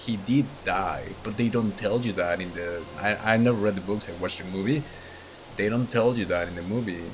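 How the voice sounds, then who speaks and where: With a non-native accent, a man speaks at a moderate pace with fairly low pitch. His intonation is fairly even, and music plays in the background. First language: not English. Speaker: gaming lore youtuber. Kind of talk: casual monologue. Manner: rambling, hesitant with fillers.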